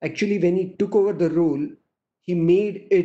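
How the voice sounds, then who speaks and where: The voice has a dark, mellow tone and moves at a fairly quick pace. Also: man. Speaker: conference moderator. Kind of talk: opening remarks presentation. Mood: formal, respectful. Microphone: video call.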